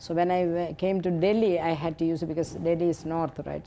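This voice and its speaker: This woman's voice sits fairly low, dark and mellow in tone, at a moderate pace. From India, Kerala. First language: Malayalam. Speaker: nonprofit founder. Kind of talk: interview. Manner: halting.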